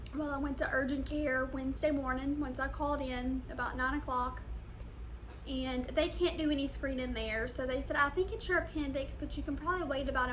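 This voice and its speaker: A woman talks in a room with audible echo, noticeable noise present in the background. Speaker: vlogger. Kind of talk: casual vlog update. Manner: soft-spoken.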